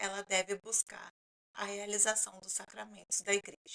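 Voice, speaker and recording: A woman speaks at a moderate pace and medium pitch, her tone bright and sharp with vocal fry, the sound dry and close with no echo. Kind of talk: talking-head explainer.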